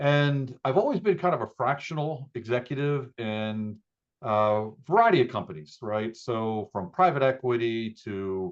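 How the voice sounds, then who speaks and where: In an American accent, a plain, everyday voice moves at a fairly slow pace with lively intonation. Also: man, medium pitch for a man. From US Northeast, southeast Pennsylvania. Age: 60s. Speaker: business coach. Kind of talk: interview.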